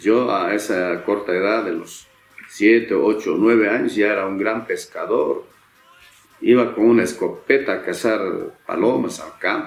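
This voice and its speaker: There is audible room echo and noticeable background noise. Through it, a man talks fairly slowly. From Bolivia, Cochabamba (Mizque province, rural). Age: 60s. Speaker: singer-songwriter. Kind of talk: autobiographical storytelling. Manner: casual, hesitant with fillers.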